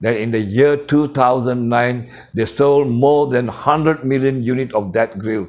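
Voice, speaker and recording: A plain, everyday voice from a man at medium pitch, with ordinary pitch variation and a moderate pace. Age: 60s. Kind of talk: motivational storytelling. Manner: informal non-native phrasing.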